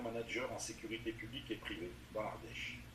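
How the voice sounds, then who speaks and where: Noticeable noise fills the background. A man speaks at an unhurried, moderate rate. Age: 60s. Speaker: municipal election candidate. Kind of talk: interview. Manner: halting, many hesitations.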